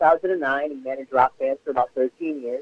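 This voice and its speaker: A man with a plain, everyday voice, fairly high in pitch, with fairly even intonation. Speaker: sideshow performer and co-host. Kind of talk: interview answer.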